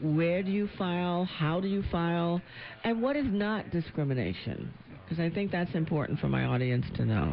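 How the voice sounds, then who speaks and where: An ordinary speaking voice, a woman's, with a fairly low pitch, lively intonation, very even loudness and a moderate pace. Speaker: radio legal talk show host and attorney. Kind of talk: radio call-in talk show. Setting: radio studio.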